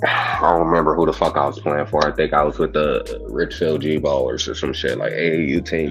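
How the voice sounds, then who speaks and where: Music plays in the background as a man talks at a fairly quick pace. His loudness stays very even, with hardly any pauses. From Chicago South Side, US. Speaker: podcast guest. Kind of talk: casual chat.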